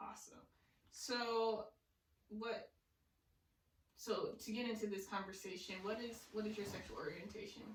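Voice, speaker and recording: The somewhat breathy voice moves at a moderate pace with fairly even intonation, long and frequent pauses, and audible room echo. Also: woman, fairly high pitch for a woman. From US South, small town. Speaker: podcast host. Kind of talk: casual chat.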